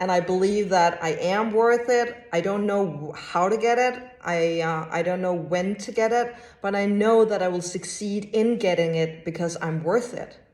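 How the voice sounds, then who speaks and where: Over noticeable background noise and audible room echo, a woman speaks at a moderate pace and medium pitch with ordinary pitch variation. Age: 40s. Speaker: clairvoyant and animal communicator. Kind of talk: podcast interview.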